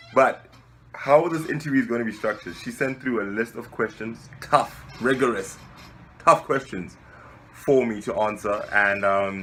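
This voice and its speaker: In a South African accent, a man speaks at a moderate pace and medium pitch. His tone is bright and sharp, with ordinary pitch variation. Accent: South African, surprising for a Nigerian. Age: 20s. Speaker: civil engineer and web show founder. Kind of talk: interview answering questions. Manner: relaxed, casual.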